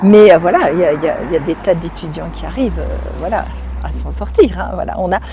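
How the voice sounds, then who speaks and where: The pace is very fast. Noticeable background noise is present. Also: woman. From France, Nancy (Lorraine). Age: 60s. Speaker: speech therapist. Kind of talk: interview.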